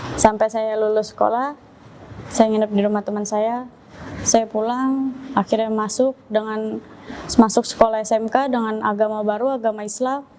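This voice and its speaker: A woman's fairly high voice at a moderate pace, monotone and flat, over noticeable background noise. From Indonesia, Jakarta (East Jakarta). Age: 20s. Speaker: religious convert. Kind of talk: testimony.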